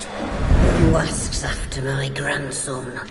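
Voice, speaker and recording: A raspy, put-on character voice rings with a clear echo against loud background noise. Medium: short film.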